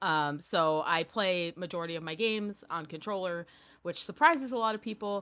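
The pace is fairly quick, with lively intonation and a bright, sharp tone. The recording is very clean, with a silent background. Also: woman. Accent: American. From small-town New York. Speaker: streamer and author. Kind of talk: casual chat.

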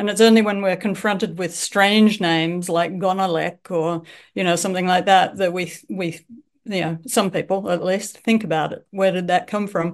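A woman with an Australian accent speaks at a medium pitch with fairly even intonation. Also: moderate pace, quiet background. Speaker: author and bird tour leader. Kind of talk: casual interview. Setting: remote call from Japan. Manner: hesitant, many fillers.

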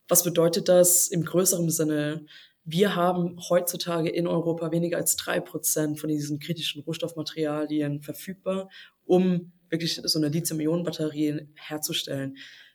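Monotone, flat intonation from a woman with a fairly low pitch. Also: moderate pace. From China and Germany. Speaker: startup founder and CEO. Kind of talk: podcast interview.

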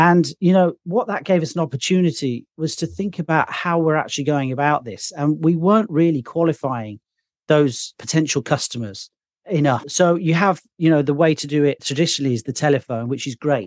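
Speaking at a fairly quick pace with a West Midlands accent, a man has a fairly high pitch and ordinary pitch variation. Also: dry, close sound with no echo. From Birmingham, England. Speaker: software founder. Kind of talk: casual interview.

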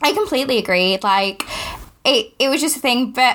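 A woman with a Yorkshire accent speaks in a bright, sharp tone. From Yorkshire, northern England. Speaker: podcast host, new mother. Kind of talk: casual chat. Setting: home, baby napping in the room.

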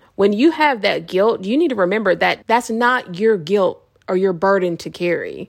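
Her tone animated, a woman speaks at a medium pitch with lively intonation. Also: moderate pace. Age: 30s. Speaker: psychic medium and life coach podcaster. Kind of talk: motivational monologue.

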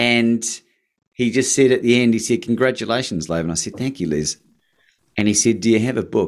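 This man talks fairly quickly at a medium pitch with an Australian accent. His pitch varies in an ordinary way, broken by long, frequent pauses. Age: 40s. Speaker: motivational speaker and podcast host. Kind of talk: interview. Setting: remote call. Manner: animated.

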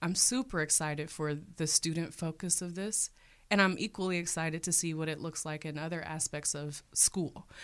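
A woman with an American accent has an unremarkable speaking voice, fairly low in pitch with fairly even intonation, at a moderate pace. The recording is very clean and the background silent. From Cleveland, Ohio, US Midwest. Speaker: teacher. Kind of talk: interview.

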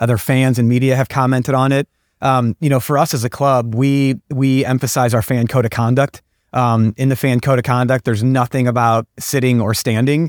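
Speaking at a fairly quick pace with an American accent, a man has a medium pitch, a monotone with flat intonation and very even loudness. The recording is very clean with a silent background, dry and close with no echo. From US Midwest, St. Louis. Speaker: sports club executive. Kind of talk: interview.

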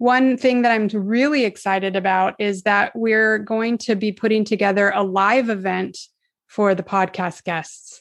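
A woman with an American accent talks at a medium pitch and a fairly slow pace, with fairly even intonation. She has an ordinary speaking voice. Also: quiet background. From California, US. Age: 50s. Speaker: horse business manager. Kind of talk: casual interview.

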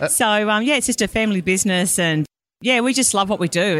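A woman with an Australian accent at a fairly quick pace, in a very clean recording with a silent background. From Australia, Brisbane. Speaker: financial planner. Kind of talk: casual interview. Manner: animated.

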